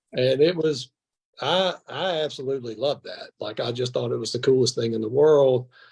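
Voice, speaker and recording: This man has an American accent and a medium pitch, with ordinary pitch variation. He sounds somewhat breathy and moves at a moderate pace. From Mississippi (Brandon). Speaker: former college football player. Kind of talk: casual interview chat. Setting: live stream show.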